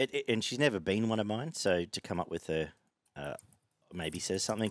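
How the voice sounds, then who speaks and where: A man talks at a fairly quick pace against a quiet background, the sound dry with no echo. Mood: relaxed, casual. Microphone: headset.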